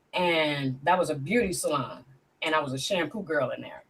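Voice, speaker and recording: A woman speaks in a very deep, low pitch that is somewhat breathy. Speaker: guest sharing personal story. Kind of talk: testimony. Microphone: laptop mic.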